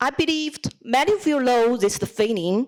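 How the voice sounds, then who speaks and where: A woman with a Chinese accent and a high pitch talks at a fairly slow pace with lively intonation. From China. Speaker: student speech contestant, lawyer. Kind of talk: speech competition address.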